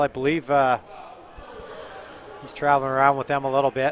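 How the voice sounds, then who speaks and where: The speech moves along at a fairly quick clip. Background noise is noticeable throughout. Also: man. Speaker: curling commentator. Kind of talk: live commentary.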